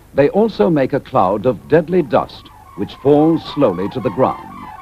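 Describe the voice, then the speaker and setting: With music in the background, a man speaks at a fairly slow pace in a calm tone and a fairly high pitch. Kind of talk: public information film narration. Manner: calm, measured.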